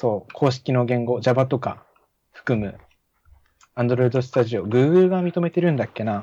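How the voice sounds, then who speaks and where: Speaking at a fairly slow pace, a man with a medium pitch and ordinary pitch variation has a dark, mellow tone. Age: 20s. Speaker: technical college student and app developer. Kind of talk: casual chat.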